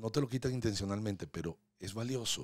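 The speaker is a man. His sound is dry with no echo, against a quiet background. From Venezuela. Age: 60s. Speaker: real estate agent; podcast guest. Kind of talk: casual interview. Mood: warm, reflective storytelling. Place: studio. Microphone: studio mic.

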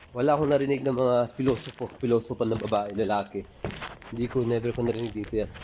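A man at a medium pitch and a very fast pace, fairly even intonation, noticeable background noise. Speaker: vlogger. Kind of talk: casual vlog talk to camera.

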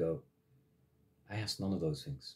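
Against a quiet background, a man with a very deep, low voice speaks very fast in a passionate, angry tone. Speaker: massage therapist and spiritual vlogger. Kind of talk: monologue/rant. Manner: angry, emphatic, ranting with repeated forceful phrases; passionate, blunt. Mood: earnest, impassioned about religion. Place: home room. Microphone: phone near.

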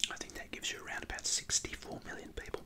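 Someone whispers quietly at a very fast pace over noticeable background noise. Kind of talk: casual explanatory talk. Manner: quiet ASMR whisper.

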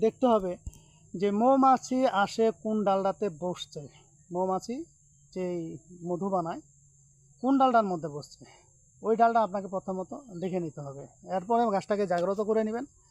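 A man's high voice with ordinary pitch variation. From Bangladesh, Thakurgaon district. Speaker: tantric healer and YouTuber. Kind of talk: tutorial.

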